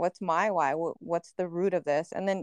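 A woman with an ordinary speaking voice speaks at a fairly low pitch with fairly even intonation, in a dry, close sound with no echo. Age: 30s. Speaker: podcast co-host. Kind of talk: casual chat.

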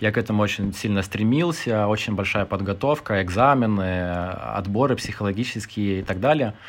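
Pitched fairly low, a man's voice shows ordinary pitch variation at a moderate pace. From Lithuania. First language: Lithuanian (speaking Russian). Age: 30s. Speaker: podcast guest, former civil servant. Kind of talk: casual chat.

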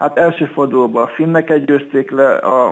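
A man's fairly high pitch, fairly slow pace and fairly even intonation in an unremarkable speaking voice. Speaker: chess club section leader and player. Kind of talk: radio interview. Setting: phone call.

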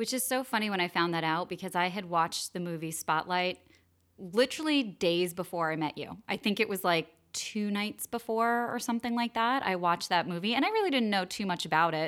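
A woman's unremarkable speaking voice at medium pitch, fairly quick and lively in intonation, on a very clean recording with a silent background. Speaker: podcast host. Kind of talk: casual interview chat.

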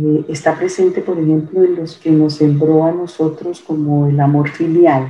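A woman's very deep, low pitch in a flat monotone. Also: fairly slow pace. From Colombia. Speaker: ontological coach. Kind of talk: interview conversation.

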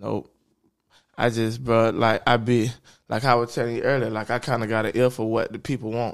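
A man with an American accent speaks at a medium pitch and a fairly quick pace in a flat, monotone way, on a very clean recording with a silent background. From Jacksonville, Florida. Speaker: rapper. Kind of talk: casual chat.

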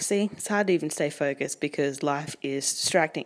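An Australian accent at a fairly quick pace, with very wide pitch swings. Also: woman. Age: 20s. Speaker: podcast host. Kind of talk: casual monologue.

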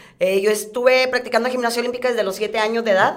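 A woman talks at a very fast pace with fairly even intonation. The recording carries audible room echo and noticeable background noise. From Reynosa, Tamaulipas, Mexico. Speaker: professional wrestler. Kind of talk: casual interview.

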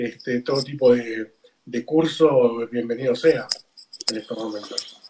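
A man with a Rioplatense accent, medium pitch, fairly slow pace. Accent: Argentine Rioplatense Spanish. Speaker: radio co-host. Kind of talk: interview.

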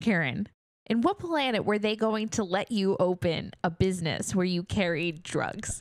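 A woman with an American accent speaks in a normal speaking voice at a medium pitch and moderate pace. Her loudness stays very even, with ordinary pitch variation. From New York, Queens. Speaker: podcast co-host. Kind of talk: casual chat.

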